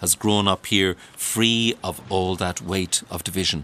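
Speaking with an Irish accent, a man uses a very deep, low pitch and fairly even intonation. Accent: Irish (Leitrim). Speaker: radio presenter and writer. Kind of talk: documentary narration with interviews.

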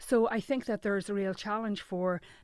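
A woman with an Irish accent speaks at a medium pitch with fairly even intonation. The background is quiet. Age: 40s. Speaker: journalist. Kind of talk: radio interview.

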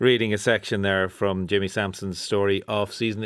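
A man speaks at a moderate pace with an Irish accent. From Ireland. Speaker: radio arts programme host. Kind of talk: radio interview programme. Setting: studio.

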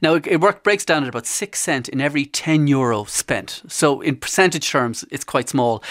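Speaking in an Irish accent, a man with a fairly high voice keeps a moderate pace and ordinary pitch variation on a very clean recording with a silent background. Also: hardly any pauses. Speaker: consumer journalist. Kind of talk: radio interview.

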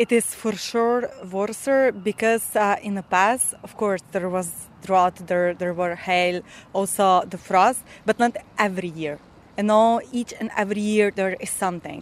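Speaking slowly with a Slovenian accent, a woman keeps a medium pitch and fairly even intonation. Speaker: farmer. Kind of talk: interview.

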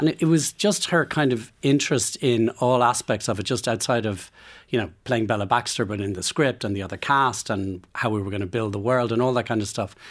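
A man with an Irish accent talks at a medium pitch and a fairly quick pace, with hardly any pauses. His pitch variation is ordinary, and the recording is very clean with a silent background. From Ireland. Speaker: film producer. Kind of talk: radio interview. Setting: radio studio. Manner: halting.

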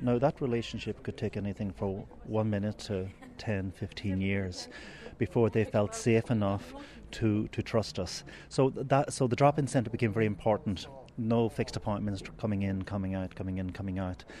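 This man has an Irish accent and a fairly low pitch. His tone is dark and mellow, and he speaks at a moderate pace. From Ireland. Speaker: priest running a migrant drop-in centre. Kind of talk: interview. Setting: drop-in centre in Cork. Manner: halting, many fillers.

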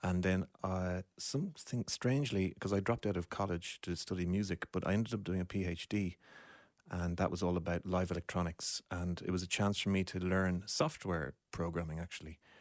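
Against a quiet background, a man with a Dublin accent and a very deep, low pitch speaks at a fairly quick pace with fairly even intonation, the sound dry and close with no echo. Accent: Dublin Irish. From Ireland, Dublin (Deansgrange). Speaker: composer and woodwind musician. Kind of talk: casual chat.

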